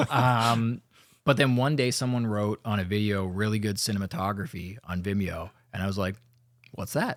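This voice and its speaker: In a Canadian accent, a man with a normal speaking voice talks at a fairly low pitch and a moderate pace, with ordinary pitch variation. The recording is very clean, with a silent background. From London, Ontario, Canada. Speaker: cinematographer. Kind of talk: casual chat.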